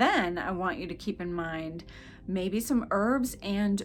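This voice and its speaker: Over music in the background, a woman with an American accent speaks at a fairly slow pace and medium pitch, her intonation lively. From New England.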